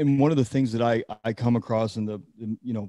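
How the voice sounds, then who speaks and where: A man's medium-pitched, dark, mellow voice with fairly even intonation and a dry, close sound with no echo. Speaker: podcast host. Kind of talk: podcast host talk.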